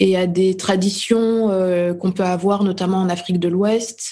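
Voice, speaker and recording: A woman's dark, mellow voice in a monotone, flat intonation. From France, Burgundy (Dijon). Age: 30s. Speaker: playwright and actress. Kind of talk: interview. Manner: hesitant, with frequent repetitions.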